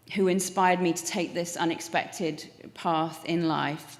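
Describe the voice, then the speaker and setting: A woman speaks fairly slowly in a fairly low pitch. Her intonation is monotone and flat, and audible room echo surrounds her voice. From England. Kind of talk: acceptance speech. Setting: stage with audience.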